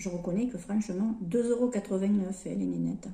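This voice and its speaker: A woman speaks at a moderate pace with a medium pitch and ordinary pitch variation. Her tone is dark and mellow, with vocal fry. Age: 60s. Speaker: lifestyle vlogger. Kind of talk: makeup tutorial chat. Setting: home, sunlight through skylight. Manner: casual, hesitant with repetitions.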